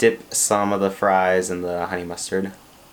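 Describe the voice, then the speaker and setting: This quiet man speaks at a moderate pace in a fairly low pitch. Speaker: YouTuber. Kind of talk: mukbang eating video monologue. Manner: quiet, low volume; casual, filler words.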